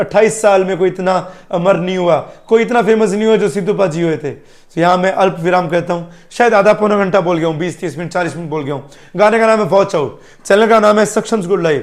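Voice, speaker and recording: This man's voice sits high in pitch, with ordinary variation. He talks at a moderate pace. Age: 30s. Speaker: music reaction youtuber. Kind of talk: emotional video monologue.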